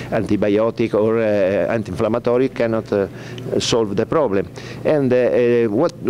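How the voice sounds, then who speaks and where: Over music in the background, a man with an Italian accent speaks at a moderate pace and medium pitch, with ordinary pitch variation and very even loudness. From Italy. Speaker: veterinarian and pet food company owner. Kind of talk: press conference presentation. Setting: press conference. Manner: halting, many hesitations.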